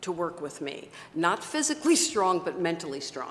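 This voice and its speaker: A woman with an ordinary speaking voice talks at a moderate pace and a medium pitch. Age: 60s. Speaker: webcast host and success coach. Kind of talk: casual interview chat.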